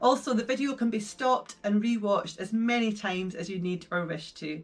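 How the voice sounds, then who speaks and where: A woman, somewhat breathy, at a fairly quick pace. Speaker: session guide. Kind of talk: guided session introduction. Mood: warm, gentle, upbeat.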